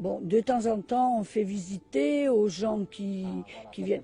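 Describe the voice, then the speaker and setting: A woman speaks at a fairly slow pace, her pitch fairly high. Her voice is somewhat breathy, with a dark, mellow tone. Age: 70s. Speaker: animal sanctuary founder, magnetic healer. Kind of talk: interview.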